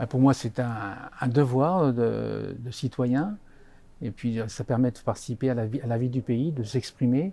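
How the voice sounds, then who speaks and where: A fairly slow male voice of medium pitch, dark and mellow in tone, with ordinary pitch variation. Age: 70s. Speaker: retired railway worker. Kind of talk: interview. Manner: halting.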